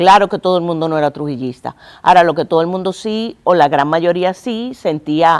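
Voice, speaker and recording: Fairly low in pitch, a woman talks at a fairly quick pace in an ordinary speaking voice with ordinary pitch variation, in a very clean recording with a silent background. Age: 50s. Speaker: museum director. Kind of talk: TV interview.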